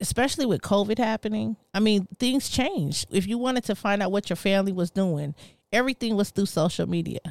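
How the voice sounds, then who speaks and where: With an ordinary speaking voice, a woman in an American accent talks at a fairly quick pace and medium pitch, with ordinary pitch variation, very even loudness and a dry, close sound with no echo on a very clean recording with a silent background. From US West Coast. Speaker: entrepreneur. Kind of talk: casual chat.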